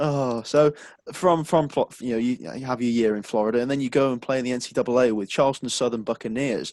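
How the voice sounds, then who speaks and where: Recorded very cleanly against a silent background, a medium-pitched man with a British accent comes across with a dry, close sound and no echo. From UK. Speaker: podcast host. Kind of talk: casual interview.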